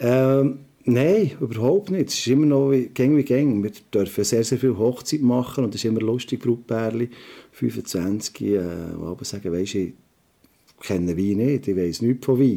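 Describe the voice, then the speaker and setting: A man speaks with a Swiss accent and lively intonation. His tone is dark and mellow, at a medium pitch. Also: moderate pace. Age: 50s. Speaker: restaurateur and trained chef. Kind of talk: interview. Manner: halting, many filler sounds.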